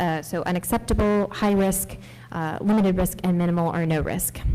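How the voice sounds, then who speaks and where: A woman talks at a fairly quick pace with a fairly low pitch. Her tone is dark and mellow, and her intonation is fairly even. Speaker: AI policy director on a panel. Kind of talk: panel discussion. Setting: congressional briefing room with audience. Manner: soft-spoken. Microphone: speaking very close to the mic.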